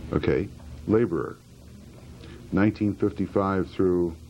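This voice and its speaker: Very deep, low male voice, dark and mellow, monotone and flat, at a very slow pace. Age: 60s. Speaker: retired pharmaceutical executive, witness. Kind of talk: courtroom testimony. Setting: courtroom.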